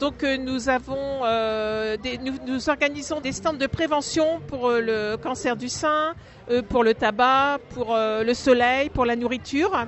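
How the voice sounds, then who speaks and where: Speaking at a very slow pace, a woman with a high pitch uses ordinary pitch variation. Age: 60s. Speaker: charity volunteer, cancer survivor. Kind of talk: interview testimony. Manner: hesitant, many fillers.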